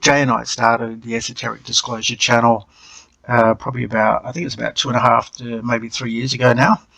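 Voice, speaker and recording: A man with an Australian accent speaks at a very fast pace in a medium pitch with monotone, flat intonation. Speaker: channel co-host. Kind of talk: screen-share tutorial. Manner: hesitant, with many fillers.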